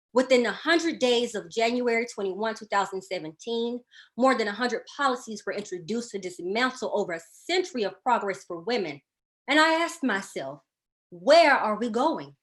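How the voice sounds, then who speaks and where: In a quiet background, a woman with a Southern US accent speaks at a fairly quick pace, her fairly high pitch swinging very widely. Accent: Southern twang. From US South, Birmingham, Alabama. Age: 20s. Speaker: divinity student and labor organizer. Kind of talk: prepared speech. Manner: formal.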